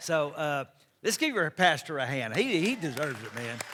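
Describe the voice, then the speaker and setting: A man with a Texas accent and a bright, sharp tone speaks at a moderate pace with fairly high pitch and lively intonation on a very clean recording with a silent background. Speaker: pastor. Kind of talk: sermon.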